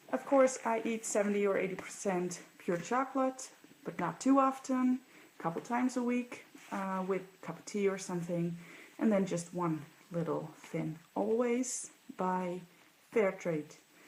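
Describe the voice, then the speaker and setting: A woman with a Dutch accent talks fairly slowly, with long, frequent pauses. Her medium pitch moves in a lively way. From Netherlands. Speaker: vlogger. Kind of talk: casual show-and-tell vlog.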